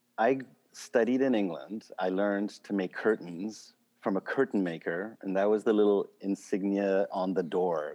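A man with an unremarkable speaking voice and fairly low pitch against a quiet background. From Switzerland and Canada. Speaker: drapery maker. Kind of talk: interview.

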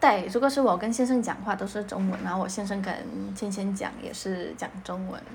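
A woman speaks with ordinary pitch variation, her voice carrying audible room echo and noticeable background noise. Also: medium pitch for a woman, fairly quick pace. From Poland. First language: Polish (speaking Chinese). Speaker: mother of bilingual children. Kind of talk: interview.

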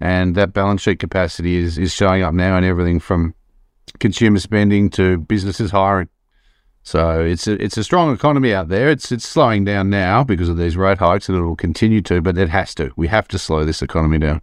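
Against a quiet background, a man with a very deep, low voice talks at a very fast pace with ordinary pitch variation. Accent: Australian. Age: 50s. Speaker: economist. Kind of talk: podcast interview.

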